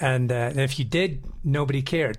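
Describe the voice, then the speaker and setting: A man with a Scottish accent speaks at a medium pitch with fairly even intonation, and audible room echo surrounds his voice. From Scotland, Edinburgh. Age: 50s. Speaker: river guide and adventure travel operator. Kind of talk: interview.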